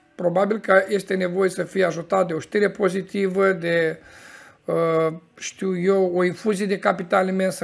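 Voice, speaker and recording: The speaker goes at a fairly slow pace with monotone, flat intonation. Faint music sits in the background. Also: man. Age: 40s. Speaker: crypto market commentator. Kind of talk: market analysis monologue. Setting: office. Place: home room.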